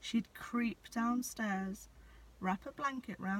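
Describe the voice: The clip features plain reading aloud.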